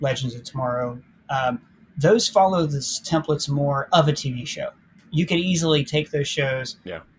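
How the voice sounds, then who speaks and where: This man's voice sits fairly high and is somewhat breathy, with ordinary pitch variation. His delivery moves along at a moderate tempo. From Ohio. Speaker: YouTube film critic. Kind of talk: casual chat.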